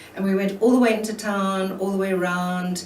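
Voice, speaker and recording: A woman's fairly even intonation amid audible room echo and noticeable background noise. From South Africa. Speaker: elder recounting history. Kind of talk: personal testimony interview. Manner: hesitant, many fillers.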